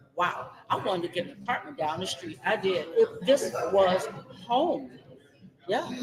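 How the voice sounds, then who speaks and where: A woman's medium-pitched voice with very wide pitch swings, a fairly slow pace, long, frequent pauses and noticeable background noise. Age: 60s. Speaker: online show host. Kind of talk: casual interview. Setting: outdoors. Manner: animated.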